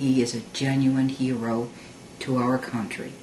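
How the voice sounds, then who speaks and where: A woman speaks at a very deep, low pitch and a fairly slow pace. Noticeable background noise is present. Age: 60s. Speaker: mother. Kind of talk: political opinion talk to camera.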